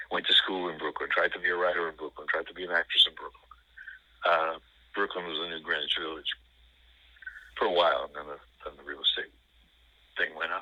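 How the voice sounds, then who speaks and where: Speaking very fast with an American accent, a man leaves long, frequent pauses and swings widely in loudness. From New York City. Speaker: film discussion guest, former teacher. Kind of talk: casual chat. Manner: halting, many fillers.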